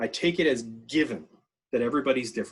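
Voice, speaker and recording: This is a man speaking with a Canadian accent. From Canada, northern New Brunswick. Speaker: education researcher and workshop speaker. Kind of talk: online workshop talk. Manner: fast; casual, animated.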